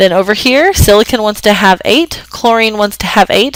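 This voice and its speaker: Over noticeable background noise, a woman at medium pitch talks at a fairly quick pace with lively intonation. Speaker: chemistry teacher. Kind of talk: lecture. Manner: fast.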